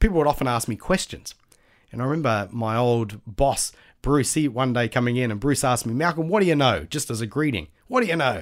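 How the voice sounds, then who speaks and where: On a very clean recording with a silent background, a man with an Australian accent speaks at a fairly quick pace with lively intonation. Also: medium pitch for a man. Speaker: Bible college lecturer. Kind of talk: casual interview, devotional encouragement.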